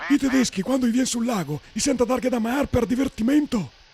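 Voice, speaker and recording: A put-on character voice at a very fast pace. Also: man, extremely high pitch for a man. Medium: dub.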